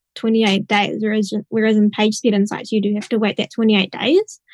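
An unremarkable speaking voice at a fairly quick pace, in a dry, close sound with no echo. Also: woman. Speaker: software engineer. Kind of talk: technical panel discussion.

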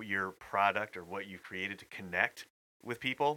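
The man's voice sits fairly low in pitch, with a bright, sharp tone and ordinary pitch variation. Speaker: co-host. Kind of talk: casual banter.

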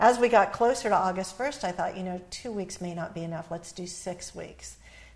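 A woman speaks at medium pitch with vocal fry. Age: 60s. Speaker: author and relationship expert. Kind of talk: interview.

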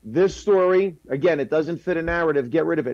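In a normal speaking voice, a man talks at a fairly quick pace and a fairly high pitch. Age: 50s. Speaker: comedian. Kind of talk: panel discussion.

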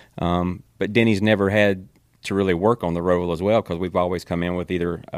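The speaker has a Southern US accent and talks at a very fast pace. The recording is very clean, with a silent background. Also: man. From North Carolina, Kannapolis. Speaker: NASCAR spotter. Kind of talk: casual chat.

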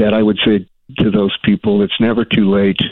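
The speaker is a man whose voice has a fairly low pitch. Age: 70s. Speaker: caller. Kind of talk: call-in advice conversation. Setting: phone call.

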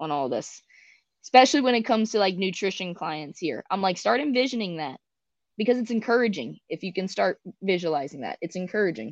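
In a dry, close recording with no echo and a quiet background, a woman talks at a fairly quick pace. Her medium-pitched voice has vocal fry and very wide pitch swings. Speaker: athlete and coach. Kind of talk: interview. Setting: video call. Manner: soft-spoken.

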